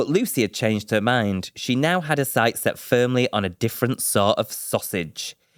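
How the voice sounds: What you hear is a natural reading voice.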